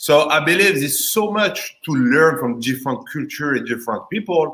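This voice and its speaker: In a strong French accent, a man speaks with a bright, sharp tone and lively intonation. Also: moderate pace. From France. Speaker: insurance agent. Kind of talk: casual chat. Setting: live video stream.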